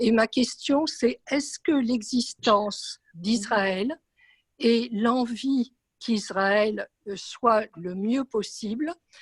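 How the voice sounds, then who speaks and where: A woman talks at a very slow pace in a fairly high voice with ordinary pitch variation. The sound is dry and close, with no echo. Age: 70s. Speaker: audience member asking a question. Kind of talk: audience question. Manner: hesitant, many fillers.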